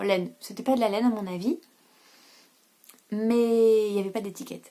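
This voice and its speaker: A woman's fairly high, somewhat breathy voice moves along at a moderate pace. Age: 30s. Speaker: knitting podcaster. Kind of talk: casual vlog chat. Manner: hesitant, many filler sounds.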